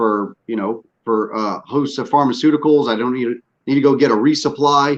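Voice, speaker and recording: With a Southern US accent, this voice shows ordinary pitch variation. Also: man. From US South, northwest Louisiana. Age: 40s. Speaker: podcast host, military veteran. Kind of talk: casual chat. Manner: animated.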